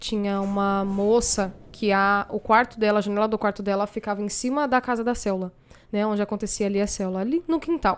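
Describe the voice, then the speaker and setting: In a very clean recording with a silent background, a woman talks at a fairly quick pace in a normal speaking voice with ordinary pitch variation. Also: medium pitch for a woman. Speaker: gospel singer. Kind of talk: casual chat.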